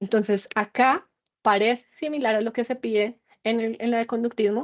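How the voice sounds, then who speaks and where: A woman's fairly high-pitched voice, an ordinary speaking voice at a moderate pace with fairly even intonation, dry and close with no echo over a quiet background. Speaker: university lecturer. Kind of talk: lecture.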